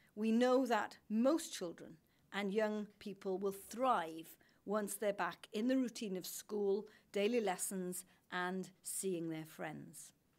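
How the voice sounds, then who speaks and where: A woman's speech goes at a very slow pace, its pitch varying in an ordinary way. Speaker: government minister. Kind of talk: prepared press statement. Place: hall.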